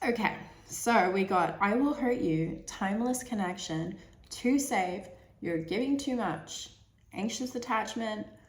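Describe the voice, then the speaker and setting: A woman speaks at a fairly slow pace with lively intonation and fairly high pitch. Noticeable background noise and audible room echo surround her. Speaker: tarot reader. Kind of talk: tarot reading monologue. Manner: hesitant, many fillers and repeats.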